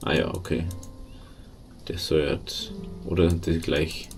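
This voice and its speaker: With music in the background, a male speaker talks at a very deep, low pitch. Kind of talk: let's play game commentary. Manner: casual, rambling.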